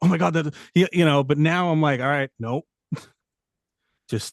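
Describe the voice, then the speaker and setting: Speaking in a strong New York accent, a man keeps a moderate pace and a fairly high pitch. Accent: thick New York. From New York City. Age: 40s. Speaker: correction officer and paranormal investigator. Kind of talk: casual podcast interview. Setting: studio.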